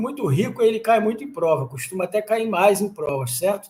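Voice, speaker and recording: A man speaks in a high-pitched voice. His intonation is lively. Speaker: exam-prep law teacher. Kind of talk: lecture. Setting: live stream.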